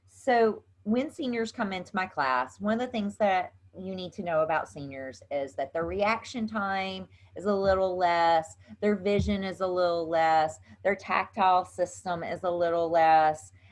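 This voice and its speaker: Against a quiet background, a woman with a Southern US accent speaks at a moderate pace and medium pitch, with ordinary pitch variation. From US South. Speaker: yoga instructor. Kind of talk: tutorial. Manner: casual, chatty.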